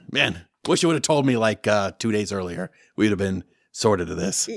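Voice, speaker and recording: In a put-on character voice that is raspy, with lively intonation at a moderate pace, the sound is dry and close with no echo, in a very clean recording against a silent background. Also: man, fairly low pitch for a man. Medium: actual play. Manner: casual, wry.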